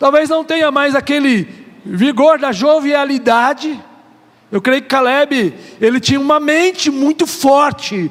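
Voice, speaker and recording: A man's animated, fairly slow delivery with ordinary pitch variation, over noticeable background noise. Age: 50s. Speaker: pastor. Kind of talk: sermon.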